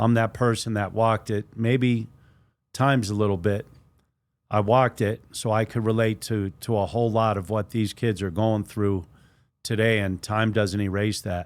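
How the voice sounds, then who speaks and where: An unremarkable speaking voice from a man, fairly low-pitched, with fairly even intonation at a moderate pace, in a very clean recording with a silent background. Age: 60s. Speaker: former prisoner turned poet and community advocate. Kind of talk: interview.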